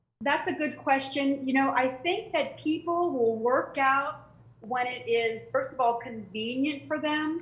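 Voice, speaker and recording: At a fairly slow pace, a woman speaks in a high pitch with audible room echo. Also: ordinary pitch variation. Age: 60s. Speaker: fitness trainer. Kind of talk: interview. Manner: halting, many fillers.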